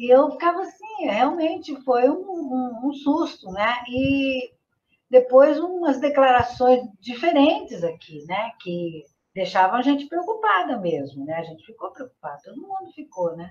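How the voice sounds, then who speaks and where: A woman's high-pitched voice at a fairly slow pace, with very wide pitch swings and big swings in loudness. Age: 70s. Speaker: retired sociologist. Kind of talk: interview.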